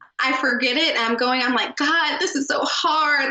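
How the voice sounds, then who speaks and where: A woman's raised, projected voice, high in pitch, with an American accent, at a fairly quick pace amid noticeable background noise. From Maryland. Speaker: communications agency founder. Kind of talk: casual interview chat.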